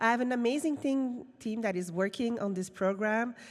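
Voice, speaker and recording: A woman with a Quebec accent, moderate pace and ordinary pitch variation. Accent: francophone Quebec. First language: French. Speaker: film industry program director. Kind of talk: conference presentation. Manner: halting.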